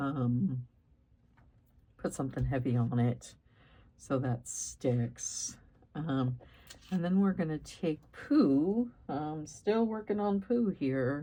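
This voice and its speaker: A woman speaks at a very slow pace, leaving long, frequent pauses. Her very deep, low voice has a dark, mellow tone and very wide pitch swings. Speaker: crafting YouTuber. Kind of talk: tutorial. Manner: casual with frequent fillers.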